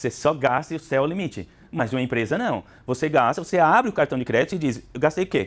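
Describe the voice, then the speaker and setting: Very fast, lively speech from a man with a fairly high pitch, on a very clean recording with a silent background. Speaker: business consultant, speaker. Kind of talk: lecture.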